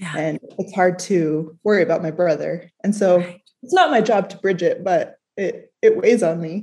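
With big swings in loudness, a woman speaks at a medium pitch in a somewhat breathy, dark and mellow tone. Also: ordinary pitch variation, moderate pace. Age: 30s. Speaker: listener seeking coaching. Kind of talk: personal conversation. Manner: hesitant, halting.

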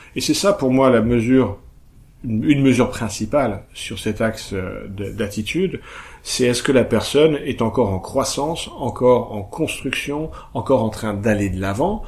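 A somewhat breathy man at a fairly slow pace, medium in pitch. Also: ordinary pitch variation. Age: 40s. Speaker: couples communication coach. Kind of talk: casual chat. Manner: halting.

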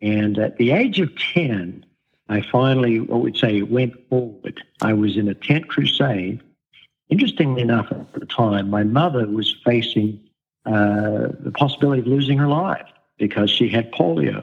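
With an Australian accent, a man talks at a moderate pace and medium pitch, with ordinary pitch variation. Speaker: pastor. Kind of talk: interview.

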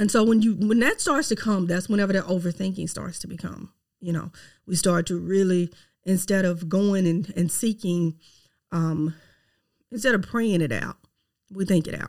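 In a very clean recording with a silent background, a woman with a Southern US accent speaks in an animated tone at a medium pitch and moderate pace, with ordinary pitch variation and long, frequent pauses. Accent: Southern US, noticeable twang. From Mississippi, US South. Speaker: podcast host, realtor. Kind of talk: faith-based personal growth talk, monologue. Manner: conversational, animated, direct address.

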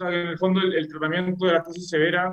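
A man is speaking. He has a Chilean accent. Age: 30s. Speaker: orthopedic surgeon, researcher. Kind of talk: interview. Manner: halting, many fillers and repetitions.

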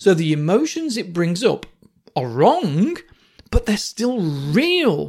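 A man with a British accent speaks at a high pitch with very wide pitch swings. His pace is very slow. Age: 40s. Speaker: psychotherapist podcast host. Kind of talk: solo podcast monologue. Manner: casual, conversational.

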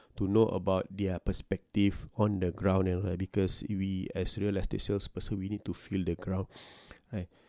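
The tone is dark and mellow, with monotone, flat intonation. The sound is dry and close, with no echo. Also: man, very deep, low pitch for a man, moderate pace. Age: 40s. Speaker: real estate agent and podcast host. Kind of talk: casual monologue. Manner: hesitant, many fillers.

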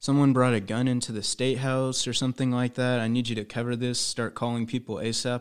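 A man with an American accent, medium-pitched and monotone, rattling along at a very fast pace with hardly any pauses. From Indiana. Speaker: student news reporter. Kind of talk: casual interview. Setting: studio.

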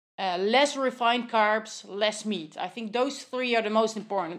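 Against a quiet background, a woman talks at a moderate pace with a fairly high pitch and ordinary pitch variation. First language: Dutch. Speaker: nutritionist. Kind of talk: interview. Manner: halting, many fillers.

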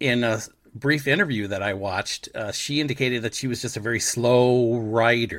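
With a plain, everyday voice and ordinary pitch variation, a man speaks at a moderate pace in a very clean recording with a silent background. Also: medium pitch for a man. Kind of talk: infomercial parody, scripted ad read.

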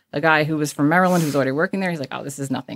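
A woman's very deep, low pitch with a North Jersey accent. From northern New Jersey. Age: 40s. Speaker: emergency dispatcher. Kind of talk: interview conversation.

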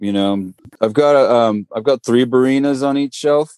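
His tone is dark and mellow, and the man keeps his intonation fairly even. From Northern California, Marin County. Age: 50s. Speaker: microgreens business owner. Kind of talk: podcast interview.

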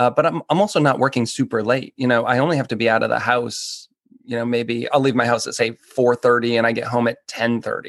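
A man with an American accent talks at a fairly quick pace in a normal speaking voice of medium pitch. The sound is dry and close, with no echo. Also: fairly even intonation. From northern US. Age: 40s. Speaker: personal chef. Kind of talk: interview.

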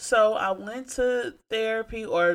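Bright and sharp in tone, a woman speaks with fairly even intonation. The recording is very clean, with a silent background. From Detroit, Michigan. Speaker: podcast host. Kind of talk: casual monologue.

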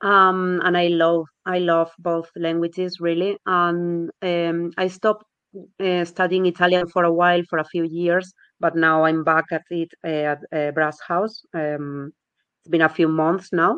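Speaking in a Spanish accent, a woman keeps a monotone, flat intonation in a dry, close sound with no echo. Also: fairly slow pace. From Spain. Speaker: language learner, competition winner. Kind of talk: interview. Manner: halting, repeats words.

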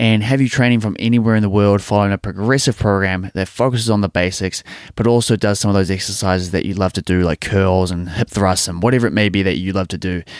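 The speech comes very fast with fairly even intonation. The recording is very clean, dry and close with no echo, over a silent background. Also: man, fairly low pitch for a man. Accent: New Zealand. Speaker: podcast host, personal trainer and gym owner. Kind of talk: casual interview chat; scripted outro.

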